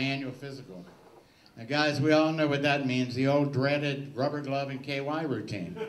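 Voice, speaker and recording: Through noticeable background noise, an American-accented man talks with a fairly high pitch. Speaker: stand-up comedian. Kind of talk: stand-up comedy set.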